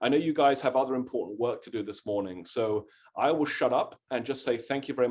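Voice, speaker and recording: With a British accent, a man talks very fast in a medium-pitched voice full of lively intonation. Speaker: history professor. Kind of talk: lecture-style Q&A answer.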